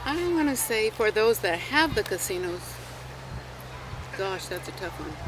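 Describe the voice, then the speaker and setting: With an American accent, a woman speaks fairly slowly at a fairly high pitch, her voice swinging very widely in pitch, with long, frequent pauses and noticeable background noise. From California. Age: 70s. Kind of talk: interview.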